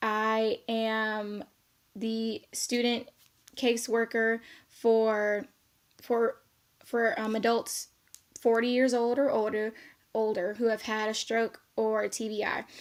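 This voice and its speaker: A woman with an American accent speaks very slowly at a fairly high pitch. Her intonation is monotone and flat, with long, frequent pauses. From South Korea, US military base. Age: 20s. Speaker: social work student. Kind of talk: self-introduction video. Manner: casual, many fillers.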